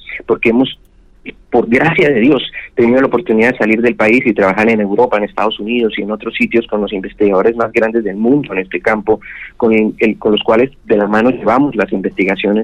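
A man with a medium pitch talks at a very fast pace with fairly even intonation. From Colombia, Santander (Bucaramanga). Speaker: gynecologist, fertility specialist. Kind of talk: radio interview.

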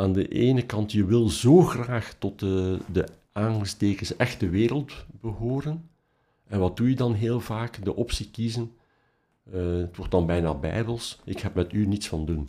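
A fairly slow delivery in a Flemish accent, with ordinary pitch variation, on a very clean recording with a silent background. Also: man, fairly low pitch for a man. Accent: Flemish Dutch. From Belgium, Ghent. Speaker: professor of mathematics and philosophy. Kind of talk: interview, personal story. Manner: hesitant, many fillers.

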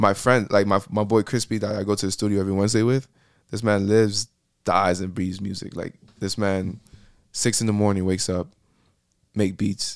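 A man with an American accent and fairly low pitch speaks fairly quickly in a flat monotone, with long, frequent pauses, on a very clean recording with a silent background. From Miami, Florida. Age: 20s. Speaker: musician and graphic designer. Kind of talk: casual chat. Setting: studio.

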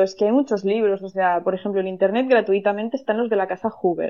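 Here is a plain, everyday voice from a woman. Her pitch is fairly high, with ordinary pitch variation. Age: 30s. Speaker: astrologer. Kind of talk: interview.

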